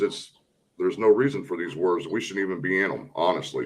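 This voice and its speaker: With a normal speaking voice, a man talks at a fairly quick pace and ordinary pitch variation. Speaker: military veteran, panel host. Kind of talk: casual chat.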